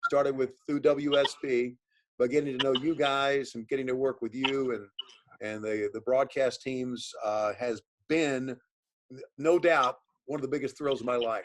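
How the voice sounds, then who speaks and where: An ordinary speaking voice: a man at a medium pitch and moderate pace, with fairly even intonation. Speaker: professional wrestling commentator and sports broadcaster. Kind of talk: interview answer, casual conversational talk.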